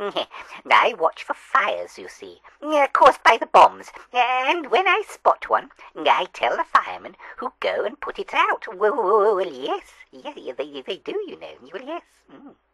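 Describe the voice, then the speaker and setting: This put-on character voice is high-pitched, with an English accent as part of the act. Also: fairly slow pace. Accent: rustic English dialect grammar. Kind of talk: comic mock-newsreel interview. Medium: comedy sketch. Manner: hesitant, stammering and chuckling.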